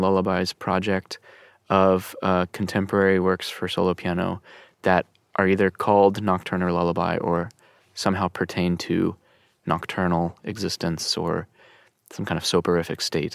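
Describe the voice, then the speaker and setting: A man talks at a moderate pace in a very deep, low voice. The sound is dry and close with no echo, on a very clean recording with a silent background. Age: 30s. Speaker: pianist and composer. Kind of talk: casual interview. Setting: studio.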